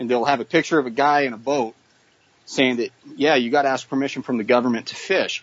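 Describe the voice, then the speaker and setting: A man with an American accent speaks at a medium pitch with ordinary pitch variation, in an ordinary speaking voice. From Idaho, US (Boise). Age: 30s. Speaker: musician and wildland firefighter. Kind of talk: interview.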